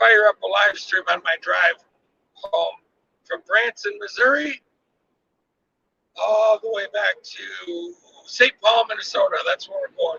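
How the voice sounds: Speaking at a fairly slow pace, a man with a high pitch uses big pitch swings, a bright, sharp tone, a slightly husky edge and vocal fry. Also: dry, close sound with no echo.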